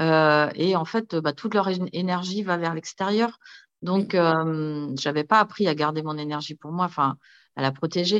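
A woman with a fairly low pitch talks at a fairly slow pace, the sound dry and close with no echo against a quiet background. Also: ordinary pitch variation. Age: 50s. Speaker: entrepreneur. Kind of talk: casual chat. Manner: halting.

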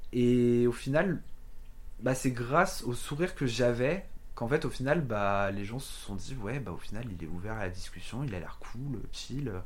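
Through audible room echo, a man speaks at a fairly slow pace with lively intonation. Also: medium pitch for a man. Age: 20s. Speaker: podcast guest sharing a travel story. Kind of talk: casual chat. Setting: at home.

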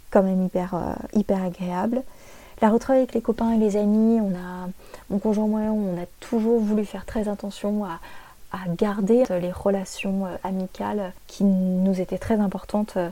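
Monotone and flat, a woman's dark, mellow voice sits at a medium pitch and moves fairly slowly. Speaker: podcaster. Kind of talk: solo podcast monologue.

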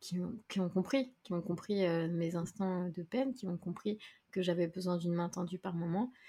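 A woman speaks at a moderate pace in a fairly low, somewhat breathy voice. Her tone is dark and mellow, with ordinary pitch variation. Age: 30s. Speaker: content creator and podcaster. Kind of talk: casual chat.

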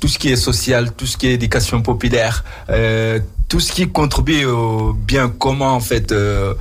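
A man speaks with very even loudness. The recording has audible room echo and noticeable background noise. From Mauritania. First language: not French (speaking French). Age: 30s. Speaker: radio host. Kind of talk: radio interview.

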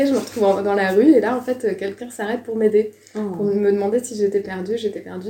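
Her pitch fairly high, a woman talks at a very fast pace with fairly even intonation. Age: 20s. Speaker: former exchange student. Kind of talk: casual interview testimony.

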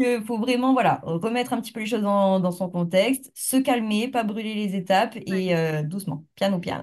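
At a moderate pace, a normal speaking voice shifts with ordinary pitch variation. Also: woman, medium pitch for a woman, hardly any pauses. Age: 20s. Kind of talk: interview.

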